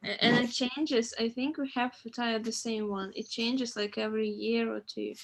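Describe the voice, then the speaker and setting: A woman with a non-native accent speaks at a moderate pace and a fairly high pitch. Her intonation stays fairly even, and background noise is noticeable. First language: not English. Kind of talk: casual chat.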